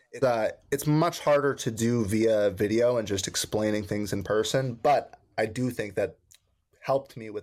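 A man's medium-pitched, normal speaking voice at a fairly slow pace on a very clean recording with a silent background. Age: 20s. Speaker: realtor and real estate investor. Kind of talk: casual chat.

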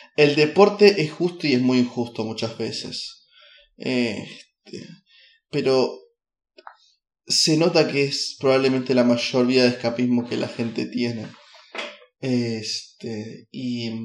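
Speaking at a very slow pace with long, frequent pauses, a man uses a medium pitch with ordinary pitch variation. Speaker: podcaster. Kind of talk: casual monologue. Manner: animated; halting.

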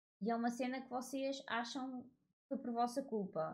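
A woman's voice, fairly high in pitch, has a dark, mellow tone. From Portugal. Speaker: podcaster. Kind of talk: casual monologue. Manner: informal, with frequent fillers.

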